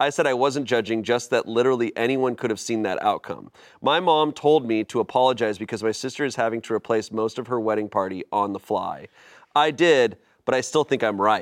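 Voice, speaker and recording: At a fairly quick pace, a man with an unremarkable speaking voice talks at medium pitch with ordinary pitch variation over a quiet background. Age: 30s. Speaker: comedy podcast host. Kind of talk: reading aloud.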